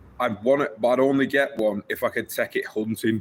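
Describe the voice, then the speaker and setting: A man's moderately paced speech is heard over noticeable background noise. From northern England, Wigan. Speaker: livestreamer. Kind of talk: casual livestream chat.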